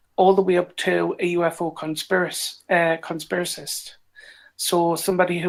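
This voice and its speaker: A woman with a Geordie accent speaks at a fairly low pitch in a monotone, flat way, on a very clean recording with a silent background. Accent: British (Geordie). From northern England, Newcastle upon Tyne. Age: 30s. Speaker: online community founder. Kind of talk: podcast interview. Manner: hesitant, filler-heavy.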